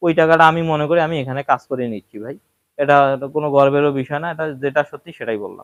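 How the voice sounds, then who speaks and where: An ordinary speaking voice with fairly even intonation and big swings in loudness, dry and close with no echo. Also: man, fairly high pitch for a man. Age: 20s. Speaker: cattle farmer and video creator. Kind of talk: casual vlog talk to viewers.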